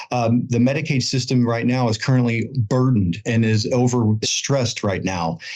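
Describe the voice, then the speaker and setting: In an ordinary speaking voice, a man talks at a moderate pace and medium pitch, with ordinary pitch variation, very even loudness and hardly any pauses. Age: 40s. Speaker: insurance expert. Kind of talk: podcast interview.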